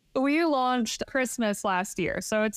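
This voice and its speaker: A woman with an American accent at a moderate pace, with ordinary pitch variation. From Michigan, US. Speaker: short-term rental investor and designer. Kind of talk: interview conversation.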